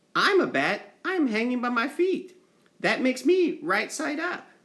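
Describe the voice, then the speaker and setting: In a put-on character voice, the speaker uses a high pitch at a moderate pace. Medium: read story. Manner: timid, earnest.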